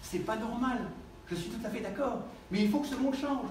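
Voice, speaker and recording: With an animated tone, a man speaks at a fairly quick pace amid audible room echo and noticeable background noise. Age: 60s. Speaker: nutrition doctor, speaker. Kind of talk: conference talk.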